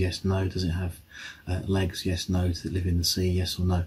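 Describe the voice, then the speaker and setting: A very deep, low, somewhat breathy male voice, monotone and flat, at a fairly quick pace. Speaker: science teacher. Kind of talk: tutorial. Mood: cheerful, light humor. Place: home room. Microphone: phone near.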